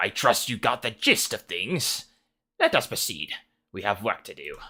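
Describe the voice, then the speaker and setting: Put-on character voice from a man, medium-pitched and moderately paced. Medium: game stream. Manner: contemptuous, commanding.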